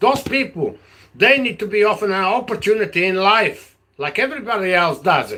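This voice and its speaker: This man's voice is high-pitched, raised and projected, with an animated tone. He talks at a fairly quick pace with ordinary pitch variation. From Portugal. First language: Portuguese. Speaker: political vlogger. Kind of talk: live stream monologue. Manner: halting.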